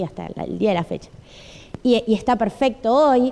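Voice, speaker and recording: A high-pitched female voice, fairly slow, with lively intonation. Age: 30s. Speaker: preacher. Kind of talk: sermon. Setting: church.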